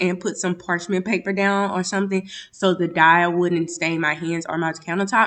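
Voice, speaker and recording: Against a quiet background, a woman talks at a moderate pace with medium pitch and flat, monotone intonation. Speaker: lifestyle vlogger. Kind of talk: vlog voiceover narration. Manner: casual, occasional stumbles.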